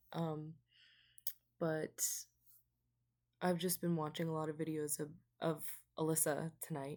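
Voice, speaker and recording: A woman speaks quietly in a very deep, low pitch with a dark, mellow tone. Her delivery is fairly slow and monotone, broken by long, frequent pauses. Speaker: vlogger. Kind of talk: casual chat. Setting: at home late at night.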